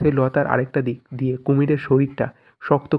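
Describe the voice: The recording consists of plain reading aloud.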